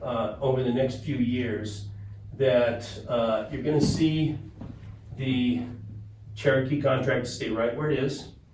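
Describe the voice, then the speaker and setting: Amid noticeable background noise and audible room echo, a man with a medium pitch speaks with fairly even intonation and long, frequent pauses. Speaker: water resources consultant. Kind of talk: presentation to a board. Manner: fast.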